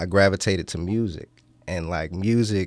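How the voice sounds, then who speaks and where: With an American accent, a man speaks at a very deep, low pitch on a very clean recording with a silent background. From Washington DC area (DMV). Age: 20s. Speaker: rapper. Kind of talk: radio interview. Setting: college radio studio.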